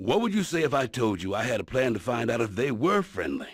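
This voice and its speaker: A man puts on a character voice at a medium pitch. It jumps through very wide pitch swings at a fairly quick pace. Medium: video game. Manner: deadpan, sardonic.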